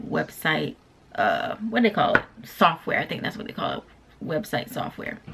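A woman speaks over light background noise. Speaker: small business owner vlogger. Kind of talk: casual vlog chat. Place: home room. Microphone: camera far.

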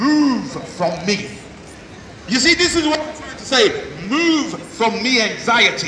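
A man uses a raised, projected voice at an extremely high pitch with very wide pitch swings. Long, frequent pauses come through with audible room echo and light background noise. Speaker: street preacher. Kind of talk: street sermon. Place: street. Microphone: camera far.

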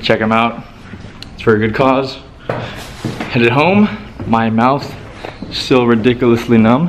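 A man's intonation stays fairly even, with light background noise behind him. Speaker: vlogger. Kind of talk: casual vlog chat.

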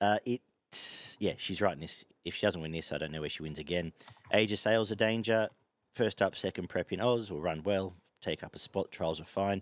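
A man speaks quickly-ish in an Australian accent, his pitch fairly low with ordinary variation. The background is quiet and the sound dry, with no echo. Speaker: horse racing tipster. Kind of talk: casual chat. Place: garden. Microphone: headset.

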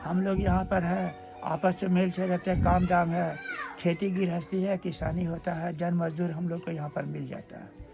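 Clear music plays in the background as a man with a high pitch speaks at a moderate pace in a monotone, flat intonation. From Bihar, India. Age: 80s+. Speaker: villager recalling 1946 riots. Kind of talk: interview answer. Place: home room. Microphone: phone near.

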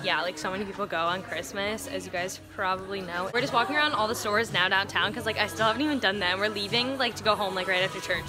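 With music in the background, a woman talks at a very fast pace with hardly any pauses and ordinary pitch variation. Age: young. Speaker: college student and vlogger. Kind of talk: casual vlog talk to camera.

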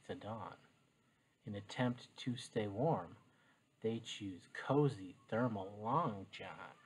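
A soft-spoken man talks at a very slow pace. His voice is somewhat breathy, with ordinary pitch variation. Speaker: teacher. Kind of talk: reading aloud. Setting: home, living room floor. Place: home room. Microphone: webcam.

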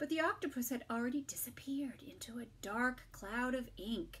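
A woman speaks at a moderate pace with fairly high pitch. Her tone is fairly bright and her intonation lively.

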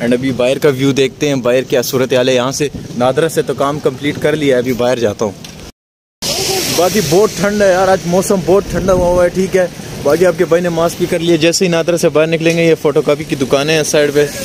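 At a moderate pace and very even loudness, the speech has a dry sound with no echo and noticeable background noise. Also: man, ordinary pitch variation. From Pakistan. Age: 20s. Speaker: vlogger. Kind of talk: travel vlog. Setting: outdoors. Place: street. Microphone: phone near.

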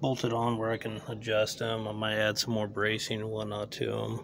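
A man with a fairly low voice talks at a moderate pace over light background noise. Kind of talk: casual vlog chat. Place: open country. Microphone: phone near.

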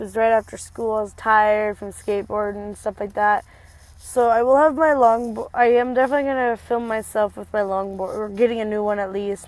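The recording is dry, with no echo. A woman talks at a fairly quick pace with fairly even intonation. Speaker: vlogger. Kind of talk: casual vlog chat. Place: car. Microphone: earbuds.

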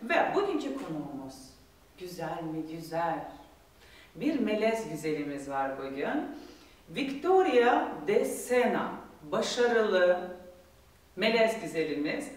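Long, frequent pauses amid audible room echo. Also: woman. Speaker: TV show host. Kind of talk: presenter intro and interview questions. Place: studio.

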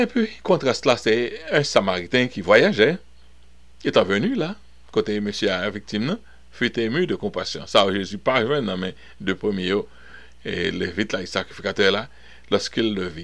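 With a Haitian accent, a man talks at a fairly slow pace with lively intonation and long, frequent pauses. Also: quiet background. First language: Haitian Creole (speaking French). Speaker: pastor. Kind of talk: bible study teaching. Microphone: webcam.

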